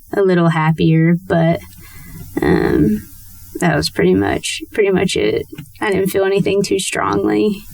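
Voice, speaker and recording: A woman speaks at a fairly slow pace with long, frequent pauses and very even loudness. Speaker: interview guest sharing recovery story. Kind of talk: testimony. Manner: halting, many fillers.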